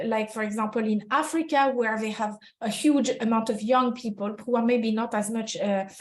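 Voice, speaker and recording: A woman with a French accent speaks at a moderate pace in a fairly high, somewhat breathy voice with fairly even intonation. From France. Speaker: HR consultant. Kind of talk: webinar presentation. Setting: online webinar. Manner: halting, many fillers.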